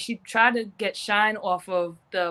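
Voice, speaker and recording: Here is a woman with an American accent and a normal speaking voice. Her pitch is medium and her intonation fairly even. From US Northeast, Providence, Rhode Island. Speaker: professional boxer. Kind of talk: casual interview.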